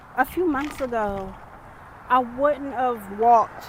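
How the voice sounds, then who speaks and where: A woman speaks over noticeable background noise. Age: young. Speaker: lifestyle vlogger. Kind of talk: personal vlog monologue. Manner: hesitant, many ums.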